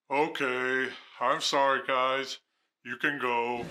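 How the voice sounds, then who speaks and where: On a very clean recording with a silent background, a man puts on a character voice at medium pitch, very slow and with monotone, flat intonation. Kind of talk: comic overacting. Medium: comedy sketch. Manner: hammy, overdramatic.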